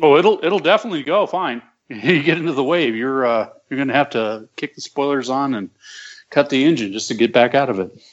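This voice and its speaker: With lively intonation and a fairly quick pace, a man speaks in a normal speaking voice pitched fairly high. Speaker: aircraft builder and pilot. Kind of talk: casual chat.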